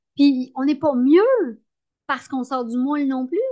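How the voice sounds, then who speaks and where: Against a quiet background, a woman with a dark, mellow tone talks at a moderate pace with ordinary pitch variation. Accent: Quebec. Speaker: entrepreneur. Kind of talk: interview.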